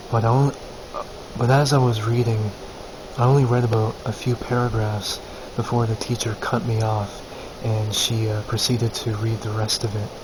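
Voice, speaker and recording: Over noticeable background noise, a man speaks at a medium pitch and moderate pace. His intonation is monotone and flat, with long, frequent pauses. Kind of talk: casual talk to camera. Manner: dull, flat; hesitant, stumbling.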